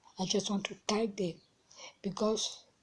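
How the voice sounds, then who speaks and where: Somewhat breathy and dark, mellow in tone, a woman speaks at a fairly slow pace in a medium pitch with monotone, flat intonation. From central Africa. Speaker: advocate for people with Turner syndrome. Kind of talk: personal testimony. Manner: halting.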